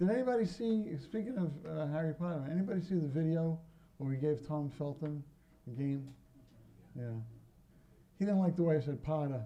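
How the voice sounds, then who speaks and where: Over audible room echo, a man with a Brooklyn accent talks at a fairly quick pace in a dark, mellow tone, his intonation lively and his speech marked by long, frequent pauses. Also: fairly high pitch for a man. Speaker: pinball company owner. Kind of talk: convention talk to audience. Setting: stage with audience. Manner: casual, joking.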